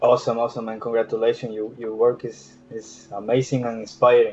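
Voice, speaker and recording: Speaking at a fairly quick pace with big swings in loudness, a man is heard over music in the background. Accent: Spanish. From Ecuador. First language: Spanish. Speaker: 3D artist. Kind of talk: casual chat. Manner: halting, many repetitions.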